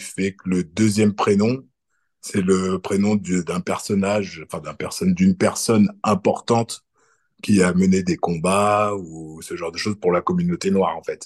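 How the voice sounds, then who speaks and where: At a fairly slow pace, a man with a fairly low pitch speaks in a dry, close sound with no echo. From France. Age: 40s. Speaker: electrician. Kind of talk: casual interview. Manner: hesitant, many fillers.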